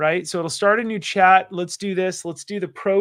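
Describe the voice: Fairly even intonation during plain reading aloud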